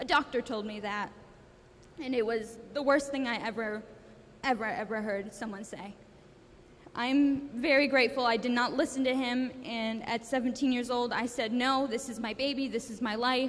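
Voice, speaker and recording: Her voice high, a woman speaks at a moderate pace with fairly even intonation. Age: 20s. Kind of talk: personal testimony. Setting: school assembly with audience. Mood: earnest, emotional, grateful. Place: hall. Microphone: handheld.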